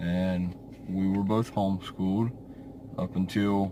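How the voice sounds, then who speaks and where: A man's fairly low voice in a Southern US accent. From US South, central eastern North Carolina. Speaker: YouTuber. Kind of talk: casual vlog monologue. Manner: hesitant, many fillers.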